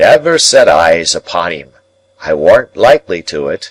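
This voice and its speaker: This man uses a put-on character voice. He speaks at a moderate pace. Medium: read story. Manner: plain-spoken, rough.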